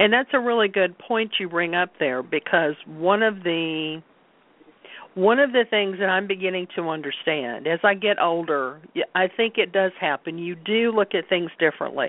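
Lively intonation marks a normal speaking voice. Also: woman, medium pitch for a woman, moderate pace. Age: 60s. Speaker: Reiki practitioner and card reader. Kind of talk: interview conversation.

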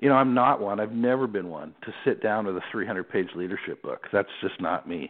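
A man with an American accent and an unremarkable speaking voice, fairly low in pitch, at a moderate pace with lively intonation. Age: 50s. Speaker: sports executive. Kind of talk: interview.

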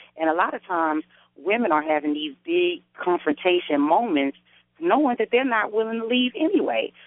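The woman's pitch swings very widely. She talks at a moderate pace. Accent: American. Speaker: radio host. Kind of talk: casual chat. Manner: animated.

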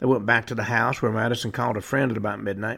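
Talking very fast, a man uses vocal fry and fairly even intonation on a very clean recording with a silent background. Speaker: radio show host. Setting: studio. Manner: matter-of-fact, deadpan with occasional wry asides.

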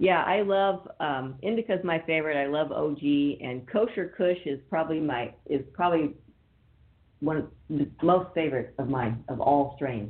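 With an American accent, a woman with a very deep, low pitch talks at a moderate pace, her tone animated and her intonation lively. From northern California. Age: 50s. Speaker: cannabis radio host. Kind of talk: radio interview.

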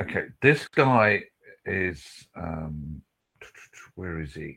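This man talks at a very slow pace, his very deep, low voice showing vocal fry. His tone is bright and sharp, and his intonation is lively. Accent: British. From Britain. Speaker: psychic reader. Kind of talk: live psychic reading.

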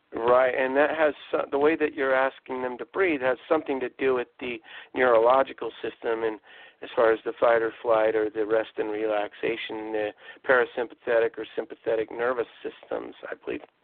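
Here is a plain, everyday voice from a man at a medium pitch. He moves at a fairly quick pace with fairly even intonation. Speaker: radio show host. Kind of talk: casual interview chat.

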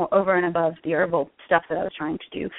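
An ordinary speaking voice with an American accent carries fairly even intonation. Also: woman. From Connecticut, US Northeast. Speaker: health coach and herbalist. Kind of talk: interview. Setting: phone call.

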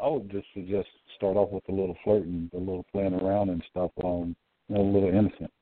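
Using an ordinary speaking voice, a man talks at a fairly quick pace in a fairly low pitch. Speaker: co-host. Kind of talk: casual discussion of relationships.

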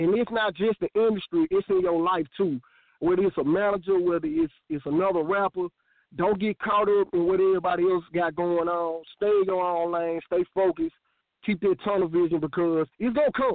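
A man with a Memphis accent, high in pitch, fairly quick, with fairly even intonation and very even loudness. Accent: Southern US, Memphis. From US South, Memphis, Tennessee. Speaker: rapper. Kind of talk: interview on internet radio show. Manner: casual, slang-heavy.

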